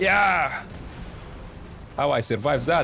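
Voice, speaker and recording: With music in the background, a man talks very slowly. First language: not English. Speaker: gaming YouTuber. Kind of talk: gameplay commentary. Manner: animated.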